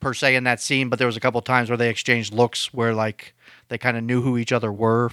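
On a very clean recording with a silent background, a man with an American accent and a medium pitch talks very fast in a bright, sharp tone. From Pittsburgh, US. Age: 30s. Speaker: podcast co-host in recovery. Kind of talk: casual chat.

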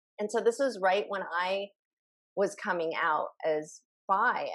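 In an American accent, a woman speaks at a very slow pace. Her pitch is medium with ordinary variation. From Sacramento, California. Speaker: speech and communication coach. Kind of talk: interview conversation.

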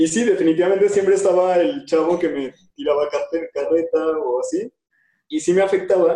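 Here a man speaks with a Mexican accent. His tone is dark and mellow at a moderate pace. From Mexico. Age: 20s. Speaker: social entrepreneur and speaker. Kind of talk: casual interview. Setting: video call.

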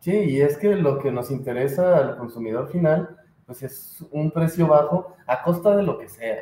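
A fairly high-pitched, somewhat breathy man with a Mexican accent, at a fairly slow pace with big swings in loudness. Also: ordinary pitch variation. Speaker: podcast co-host. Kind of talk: casual chat.

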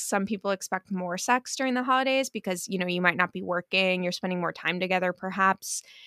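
A woman with an American accent, bright, sharp tone and ordinary pitch variation, in a dry, close sound with no echo. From US East Coast. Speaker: podcast co-host. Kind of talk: casual chat. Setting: recording remotely, apart from co-host.

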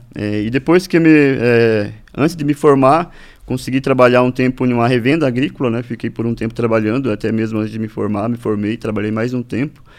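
A man speaks fairly quickly, his pitch rising and falling in an ordinary way. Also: medium pitch for a man. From Brazil, Paraná (Norte Pioneiro, Ibaiti). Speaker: agronomist, farmers' organisation official. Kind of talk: interview. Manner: halting, many fillers and repetitions.

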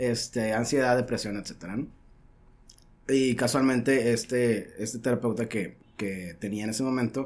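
Here a man talks in an unremarkable speaking voice at a medium pitch. He keeps a moderate pace with ordinary pitch variation. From Mexico, Sonora (Caborca). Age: 30s. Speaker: podcast guest. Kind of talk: casual chat. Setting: studio.

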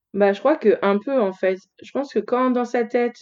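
A woman talks at a moderate pace with ordinary pitch variation. She has a plain, everyday voice. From France, Lyon. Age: 30s. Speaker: fashion blogger. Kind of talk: interview conversation.

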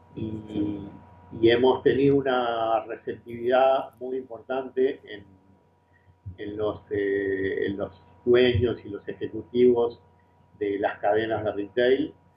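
Speaking very slowly with a Uruguayan accent, a man at medium pitch keeps his intonation fairly even but makes big swings in loudness. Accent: Rioplatense Spanish (Uruguayan). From Uruguay, small town near Montevideo. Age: 50s. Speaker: business consultant. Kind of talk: interview. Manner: halting, repeats words.

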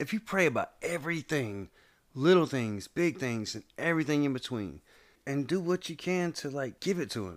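On a very clean recording with a silent background, a man speaks at a fairly high pitch and a moderate pace, with lively intonation and an animated tone. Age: 30s. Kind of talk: casual chat.

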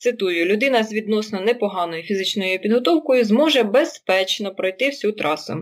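With an unremarkable speaking voice, a woman talks at a fairly high pitch, a moderate pace and lively intonation. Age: 30s. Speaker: running podcast host. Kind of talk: casual chat. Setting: remote call.

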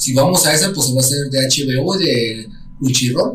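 With a Mexican accent, a man talks at a fairly slow pace and a fairly high pitch, and the room gives an audible echo. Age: 30s. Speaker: podcast host. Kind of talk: casual chat. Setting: home studio.

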